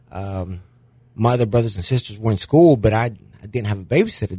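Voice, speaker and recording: A man's medium-pitched, dark, mellow and somewhat breathy voice at a fairly quick pace. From Mexico. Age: 40s. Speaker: small business owner. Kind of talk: interview.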